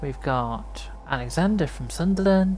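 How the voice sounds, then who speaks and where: A woman at a very slow pace, with audible room echo. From Cornwall, England. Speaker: game streamer. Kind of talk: live gameplay stream chat with viewers. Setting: live stream.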